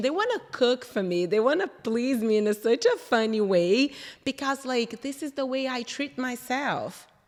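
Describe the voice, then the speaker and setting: A woman with a Brazilian accent speaks at a moderate pace with ordinary pitch variation over noticeable background noise. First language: Portuguese. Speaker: interior designer. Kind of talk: casual interview chat.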